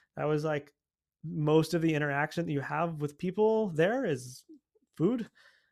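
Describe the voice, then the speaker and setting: In a plain, everyday voice with an American accent, a man speaks at a moderate pace with a fairly high pitch and ordinary pitch variation on a very clean recording with a silent background. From United States. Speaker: orchestral percussionist. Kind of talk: interview.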